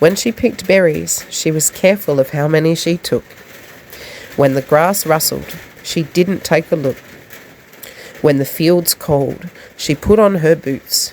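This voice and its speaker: A woman with an Australian accent and a very deep, low pitch, ordinary pitch variation, a fairly slow pace and long, frequent pauses, amid noticeable background noise. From South Australia. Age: 20s. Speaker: poet. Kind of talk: poetry reading. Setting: recorded in the rain.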